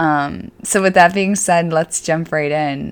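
On a very clean recording with a silent background, a woman with an Upstate New York accent speaks at a moderate pace. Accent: Upstate New York (Inland North) American. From Syracuse, central New York State. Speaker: fitness coach and podcast host. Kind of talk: casual monologue. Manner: many filler words.

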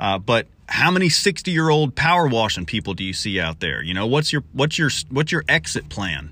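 Over a very clean, silent background, a man with vocal fry talks at a moderate pace in a bright, sharp tone, his pitch swinging very widely. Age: 30s. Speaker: cleaning business owner and podcast host. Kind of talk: casual solo podcast talk. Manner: casual with many filler words.

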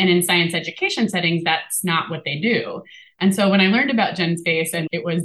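Fairly quick female speech at a medium pitch, with ordinary variation in pitch. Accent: American. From Appalachia, US. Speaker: scientist and community lab director. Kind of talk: interview conversation. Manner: fast but clear speaker.

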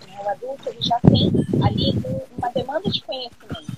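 Over noticeable background noise, a woman with a high voice speaks at a moderate pace, her pitch swinging very widely. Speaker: educator. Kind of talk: casual chat. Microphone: audio a bit quiet.

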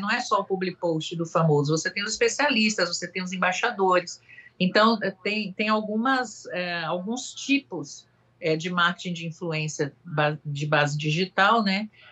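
A woman speaks in a Bahian accent at a medium pitch and a moderate pace. Her pitch swings very widely. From Salvador, Bahia, Brazil. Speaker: marketing agency executive. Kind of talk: casual chat. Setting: video call.

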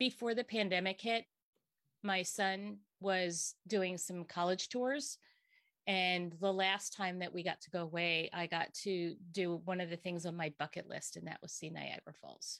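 Using a plain, everyday voice, a woman speaks at a fairly slow pace in a medium pitch, the sound dry and close with no echo. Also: ordinary pitch variation. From Pennsylvania, Berks County. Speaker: occupational therapist. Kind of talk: interview.

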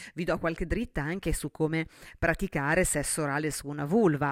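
A woman speaks with a very deep, low pitch at a fairly quick pace in an animated tone. The recording is very clean with a silent background. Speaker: sexologist and podcast host. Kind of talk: solo podcast monologue.

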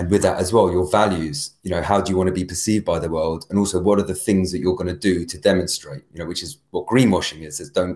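A man with a very deep, low voice and a British accent, at a fairly quick pace with ordinary pitch variation. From UK. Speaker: brand and storytelling coach. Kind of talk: casual interview chat.

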